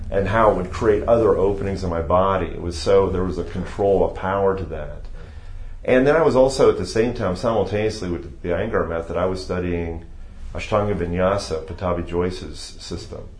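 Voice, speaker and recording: A man with an American accent speaks at a fairly quick pace in a fairly low pitch. His pitch moves in an ordinary way, and the room echo is audible. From Ohio, US Midwest. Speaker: yoga teacher. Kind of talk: interview.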